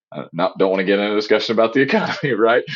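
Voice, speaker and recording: Here a man speaks with a Southern US accent. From US South. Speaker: cyber insurance specialist. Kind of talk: podcast interview. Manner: animated, talkative.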